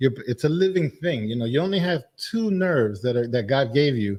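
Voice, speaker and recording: Somewhat breathy, a man speaks at a moderate pace. The background is quiet. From Dominican Republic. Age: 50s. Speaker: medical doctor, cigar maker. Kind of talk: casual chat.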